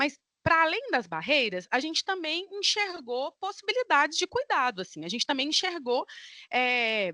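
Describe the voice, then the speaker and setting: With a bright, sharp tone, a woman projects a raised, high-pitched voice through very wide pitch swings, recorded dry and close with no echo over a quiet background. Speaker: academic researcher. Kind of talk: conference talk.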